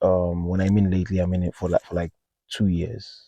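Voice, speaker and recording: A man with a very deep, low pitch and a dark, mellow tone talks at a fairly quick pace with a non-native accent. The sound is dry and close with no echo, against a quiet background. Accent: noticeable non-native accent, self-noted. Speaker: car enthusiast vlogger. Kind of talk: casual vlog. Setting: outdoors on a hilltop. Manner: hesitant, many fillers.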